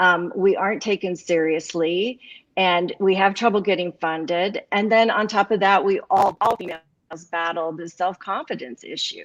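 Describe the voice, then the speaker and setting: At a moderate pace, a normal speaking voice moves with ordinary pitch variation. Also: woman, medium pitch for a woman. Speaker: cannabis business owner. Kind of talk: panel discussion.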